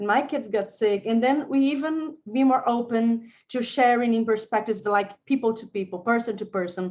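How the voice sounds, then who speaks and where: With a Portuguese accent, a woman speaks at a fairly high pitch against a quiet background. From Brazil. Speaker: lawyer and legal innovator. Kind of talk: panel discussion. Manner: halting, repetitive.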